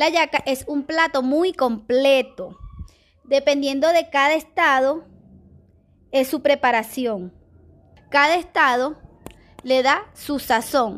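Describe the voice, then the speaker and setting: A woman speaks with a high pitch and ordinary pitch variation. Her pace is very slow, broken by long, frequent pauses. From Venezuela, Aragua state. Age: 30s. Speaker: Venezuelan migrant, preschool teacher. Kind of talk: testimony and cultural presentation.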